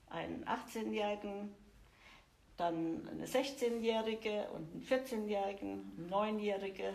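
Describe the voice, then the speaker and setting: A woman speaks at a very slow pace with ordinary pitch variation. Her loudness swings widely, and the room echo is audible. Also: medium pitch for a woman. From Germany. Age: 60s. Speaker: churchgoing grandmother. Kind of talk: interview.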